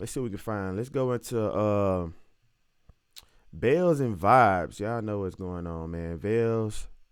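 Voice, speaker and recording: With an American accent, a man talks at a fairly slow pace. His fairly low voice has lively intonation. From US South, Alabama (Montgomery). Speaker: music producer. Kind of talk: tutorial. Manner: casual, animated.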